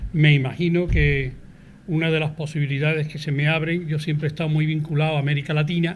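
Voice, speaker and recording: A man with an Andalusian accent talks at a fairly high pitch and a fairly quick pace. His intonation is monotone and flat, and audible room echo surrounds him. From Andalusia, Seville. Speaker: professor emeritus of philosophy. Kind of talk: interview.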